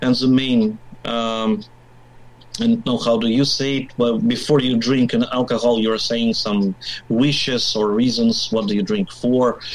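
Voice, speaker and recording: Spoken at a fairly slow pace in a Russian accent, the voice keeps fairly even intonation. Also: man, medium pitch for a man. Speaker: biker, media worker. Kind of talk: casual interview. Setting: video call.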